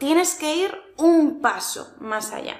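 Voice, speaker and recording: A woman speaks at a very slow pace. Audible room echo surrounds her voice. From Spain, Murcia region (village). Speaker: Spanish teacher. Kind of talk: tutorial. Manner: clear, careful articulation.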